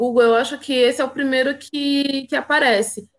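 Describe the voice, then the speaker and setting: A woman is speaking. Her pace is moderate. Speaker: live stream host. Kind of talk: interview on a live stream.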